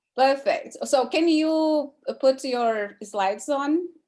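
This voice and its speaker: A woman speaks in a Portuguese accent. Her intonation is lively. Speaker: teacher hosting an online class. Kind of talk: casual chat. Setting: video call.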